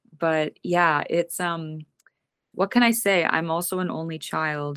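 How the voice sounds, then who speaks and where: A woman's normal speaking voice, fairly low in pitch, with a Canadian accent and a fairly slow pace. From Western Canada (British Columbia interior). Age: young. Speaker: singer-songwriter. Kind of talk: interview. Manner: casual, repeats words.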